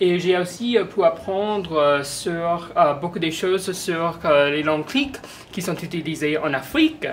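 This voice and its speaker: A woman's fairly low voice with ordinary pitch variation, a fairly slow pace, and noticeable background noise. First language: not French (speaking French). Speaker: museum visitor. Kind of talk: interview testimony. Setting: museum. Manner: halting, many hesitations.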